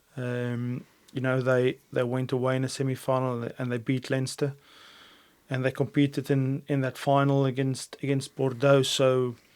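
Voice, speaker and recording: Speaking with a South African accent, a man keeps a medium pitch, a moderate pace and a monotone, flat intonation. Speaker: rugby head coach. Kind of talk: interview answer. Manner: calm, composed.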